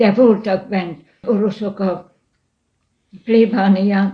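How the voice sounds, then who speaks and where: A woman's somewhat breathy voice, dark and mellow in tone, with monotone, flat intonation. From Hungary, Bács-Kiskun county. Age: 80s+. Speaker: church cantor. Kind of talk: interview.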